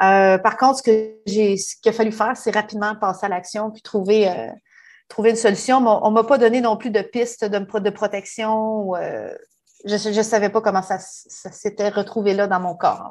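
A woman's fairly high pitch in monotone, flat intonation against a quiet background. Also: moderate pace. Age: 40s. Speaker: human resources professional. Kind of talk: personal testimony. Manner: halting.

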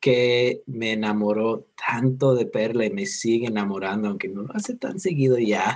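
A man at a medium pitch, speaking at a fairly slow pace. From United States. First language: English (speaking Spanish). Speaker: guest, host's husband. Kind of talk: casual chat.

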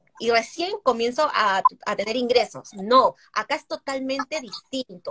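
A woman uses a raised, projected voice at a moderate pace, her pitch swinging very widely. The sound is dry and close with no echo. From Peru. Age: 30s. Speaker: digital marketer and entrepreneur. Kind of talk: casual interview chat. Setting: live stream.

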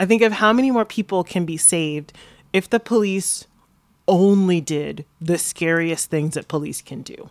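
A woman with an American accent and a plain, everyday voice speaks at a moderate pace in a medium pitch with ordinary pitch variation. Her loudness swings widely, and the recording is very clean with a silent background. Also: dry, close sound with no echo. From Florida, US South. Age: 30s. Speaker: activist and city council candidate. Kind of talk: casual interview conversation. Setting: her apartment, in person.

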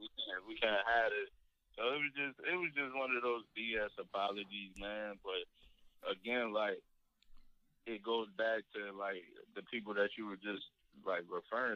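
An unremarkable speaking voice from a man with an American accent, fairly low in pitch, with fairly even intonation at a moderate pace. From Virginia, Spotsylvania / Fredericksburg area. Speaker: community member, friend of host. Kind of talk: casual chat. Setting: phone call.

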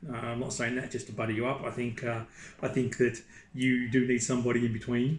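Somewhat breathy and flat in intonation, a man speaks at a very fast pace in a monotone. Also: medium pitch for a man. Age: 40s. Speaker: property investor and executive recruiter. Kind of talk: interview. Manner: halting.

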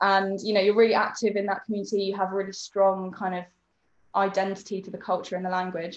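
A woman with a British accent speaks very fast at a medium pitch in a monotone, flat intonation. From UK. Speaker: sensory support worker. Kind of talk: casual chat.

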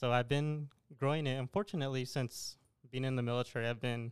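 A man with an American accent at a very fast pace, in a dry, close recording with no echo. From El Paso, Texas. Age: young. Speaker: army national guard officer, clothing entrepreneur. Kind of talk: casual interview.

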